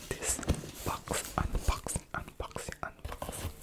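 Whispering at a very slow pace. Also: man. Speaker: ASMR creator. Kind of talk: ASMR unboxing. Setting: close-mic home recording. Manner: whispered. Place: home room. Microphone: studio mic.

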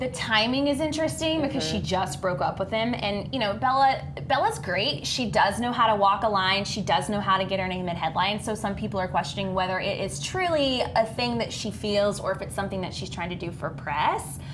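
Fairly quick speech from a woman, noticeable background noise behind her. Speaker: show host. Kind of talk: chat show discussion. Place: studio. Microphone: lapel.

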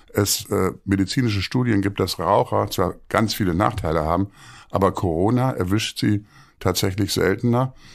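Against a quiet background, a man with vocal fry speaks at a moderate pace in a fairly low pitch with ordinary pitch variation. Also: very even loudness. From Münster, western Germany; Germany. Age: 60s. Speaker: theatre director; podcast guest. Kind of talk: interview conversation. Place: home room.

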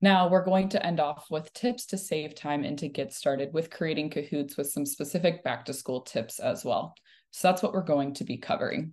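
A woman with a very deep, low pitch and ordinary pitch variation, at a moderate pace with hardly any pauses, against a quiet background. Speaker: webinar presenter. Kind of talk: tutorial. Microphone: video call.

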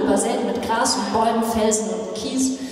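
A woman with a fairly high pitch talks at a moderate pace amid strong room echo. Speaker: pastor. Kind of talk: poetry slam performance. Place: church.

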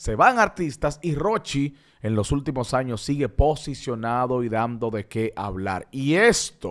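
The pace is fairly slow as this man talks. Nothing stirs in the quiet background. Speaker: entertainment show host. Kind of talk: entertainment news commentary. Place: studio. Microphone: studio mic.

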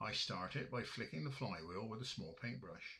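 A man speaks at a medium pitch with a West Country accent, his voice bright and sharp with vocal fry. His pitch swings very widely. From Somerset, West Country of England. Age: 70s. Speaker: model engineer. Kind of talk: narrated presentation.

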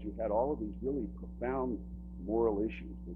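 A man speaks with a very deep, low pitch. Noticeable background noise is present. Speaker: public speaker, son of a church pastor. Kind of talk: public talk / lecture about personal experience. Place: stage.

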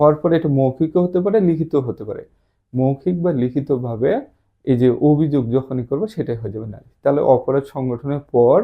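A man with an ordinary speaking voice talks at a fairly high pitch with ordinary pitch variation and big swings in loudness. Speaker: police promotion exam tutor. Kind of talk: lecture.

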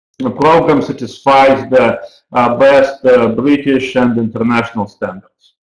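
A man speaks very slowly with ordinary pitch variation. Room echo is audible against a quiet background. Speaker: university program director. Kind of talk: webinar presentation. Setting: online webinar. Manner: halting, with frequent fillers. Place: office. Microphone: webcam.

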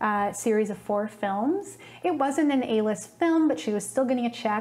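A woman speaks in a somewhat breathy voice. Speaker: video host. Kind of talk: documentary narration to camera. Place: studio. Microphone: lapel.

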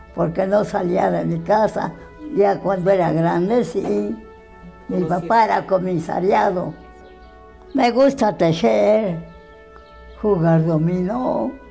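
With faint music in the background, a woman talks at a very slow pace in a medium pitch, her lively intonation broken by long, frequent pauses. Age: 80s+. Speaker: interviewee telling her life story. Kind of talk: interview answer. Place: home room.

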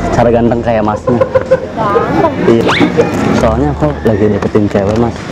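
Here a man speaks at a moderate pace. Loud background noise runs underneath. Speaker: prank comedian. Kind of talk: street prank talk with strangers. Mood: playful, awkward. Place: garden.

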